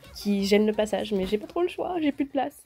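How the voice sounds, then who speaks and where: A woman's voice with a dark, mellow tone. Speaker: YouTuber. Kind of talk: casual room tour vlog. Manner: animated.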